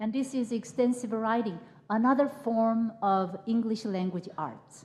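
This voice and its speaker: A woman speaks at a fairly high pitch with ordinary pitch variation. Her voice is somewhat breathy and her pace fairly slow. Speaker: professor. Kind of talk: keynote lecture. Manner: halting, repeats words.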